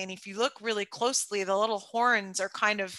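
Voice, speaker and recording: Her voice sits at a medium pitch with ordinary pitch variation and a bright, sharp tone, this speaker being a woman. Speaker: expedition cruise company presenter. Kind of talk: slide presentation to webinar audience. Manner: loud; animated.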